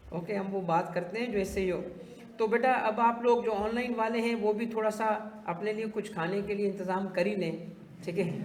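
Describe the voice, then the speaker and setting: A man with a high pitch speaks at a moderate pace with fairly even intonation, with noticeable background noise and audible room echo. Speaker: tax teacher. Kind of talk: lecture. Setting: classroom with online students.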